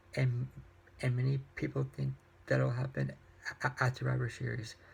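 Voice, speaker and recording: This is a man's voice. He is soft-spoken. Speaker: YouTuber reviewing wrestling and books. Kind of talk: casual vlog review. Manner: soft-spoken, talking quietly; halting, many repetitions and fillers.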